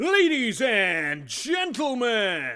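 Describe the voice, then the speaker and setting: This man is doing a put-on character voice, raised and projected. His pitch is extremely high, with very wide swings. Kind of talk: announcer. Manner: cheesy, over the top.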